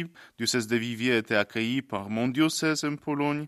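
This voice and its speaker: Recorded very cleanly against a silent background, a man with a Polish accent speaks with ordinary pitch variation in a dry, close sound with no echo. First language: Polish (speaking French). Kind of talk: interview.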